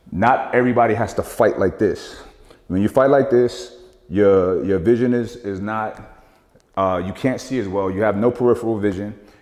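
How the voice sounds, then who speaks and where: A man with an unremarkable speaking voice talks at a moderate pace. His pitch is fairly low, with ordinary pitch variation. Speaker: boxing coach. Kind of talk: tutorial. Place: gym.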